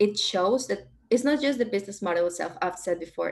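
Lively intonation runs through a woman's speech in a Spanish accent. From Peru. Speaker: data expert and alumni presenter; presenter. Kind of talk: conference presentation.

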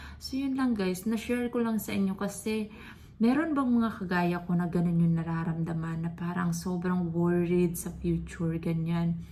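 In a room with audible echo and noticeable background noise, a woman speaks at a moderate pace, her fairly low pitch showing ordinary variation. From Philippines. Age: 30s. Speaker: vlogger. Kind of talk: personal vlog monologue.

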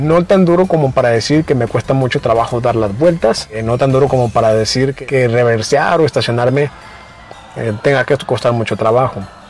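With faint music in the background and a dry sound with no echo, a man speaks at a moderate pace with ordinary pitch variation. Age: 20s. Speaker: DIY car vlogger. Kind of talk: tutorial; casual chat. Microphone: lapel.

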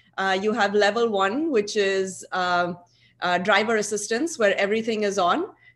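A woman with an unremarkable speaking voice, very even loudness, ordinary pitch variation and a moderate pace. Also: medium pitch for a woman. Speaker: aerospace engineer and researcher; conference presenter. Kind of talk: conference presentation. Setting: video call. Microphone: video call.

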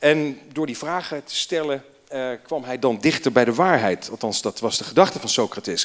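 The pace is moderate. A man talks over a quiet background. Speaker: association chairman. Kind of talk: welcome speech. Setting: stage with audience. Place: hall. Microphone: handheld.

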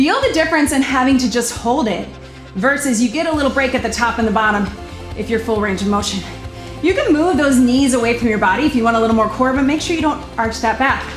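Over clear music in the background and audible room echo, a woman speaks at a fairly quick pace in a high pitch with ordinary pitch variation. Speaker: fitness instructor. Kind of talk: workout instruction cueing. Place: studio.

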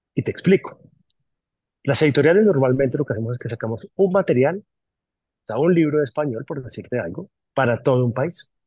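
A man's fairly high, dark, mellow voice, somewhat breathy and lively in intonation, at a fairly quick pace with long, frequent pauses, dry with no echo over a quiet background. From Colombia, Caribbean coast (Barranquilla-born, raised Bogotá); Colombia. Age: 40s. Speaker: publishing company manager. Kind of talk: interview. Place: office. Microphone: phone near.

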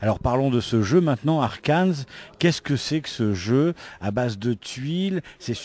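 Recorded dry with no echo, a man speaks at a fairly slow pace with lively intonation. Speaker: interviewer at a convention. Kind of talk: interview. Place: hall.

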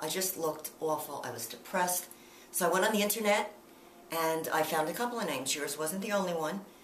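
A woman's fairly low voice at a moderate pace, with audible room echo and light background noise. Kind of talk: interview answer. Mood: earnest, emotional recollection.

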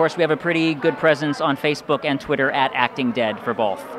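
A man at a fairly quick pace and fairly high pitch, with ordinary pitch variation, a dry sound with no echo and noticeable background noise. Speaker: actor, writer, producer and announcer. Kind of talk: casual interview. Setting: awards event. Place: hall. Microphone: handheld.

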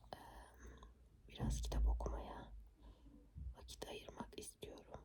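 At a fairly slow pace, the woman speaks in a whisper. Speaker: ASMR creator. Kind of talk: whispered ASMR chat. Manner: whispered.

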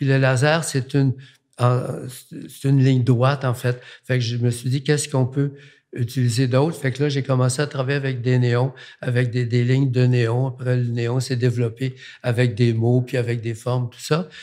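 Over a quiet background, a man speaks at a moderate pace with monotone, flat intonation. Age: 80s+. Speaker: artist; guest. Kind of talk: casual chat. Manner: halting. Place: studio. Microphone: studio mic.

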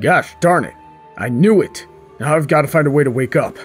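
Over clear background music, a man puts on a character voice, fairly high in pitch and at a fairly quick pace. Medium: comedy sketch.

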